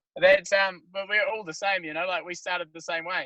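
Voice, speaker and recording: A man with a New Zealand accent at a very fast pace, his tone bright and sharp, the sound dry and close with no echo. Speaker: band member. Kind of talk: casual chat.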